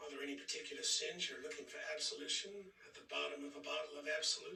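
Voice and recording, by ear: Using a put-on character voice, a man talks fast with a fairly high pitch, a bright, sharp tone, vocal fry and fairly even intonation, with audible room echo.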